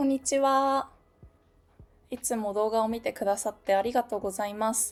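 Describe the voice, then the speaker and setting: Moderately paced speech from a woman, fairly high in pitch and fairly even in intonation. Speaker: novelist and office worker. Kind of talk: casual Q&A talk to camera. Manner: laughing, otaku-style talk.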